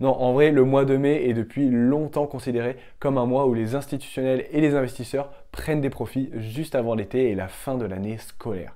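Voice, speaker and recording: The man's tone is dark and mellow, with fairly even intonation. The background is quiet. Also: moderate pace. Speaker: crypto YouTuber. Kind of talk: scripted narration. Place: home room. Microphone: lapel.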